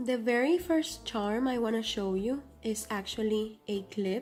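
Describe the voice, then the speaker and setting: With a non-native accent, the voice moves through an ordinary amount of pitch variation. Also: woman. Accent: non-native English accent, noted by herself. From Cuba. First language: Spanish. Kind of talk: casual vlog talk to camera.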